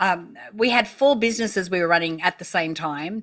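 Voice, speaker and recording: A woman with an Australian accent at a medium pitch, bright and sharp in tone, fairly quick, with ordinary pitch variation, on a very clean recording with a silent background. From Australia, country town. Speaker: entrepreneur. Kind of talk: interview. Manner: animated.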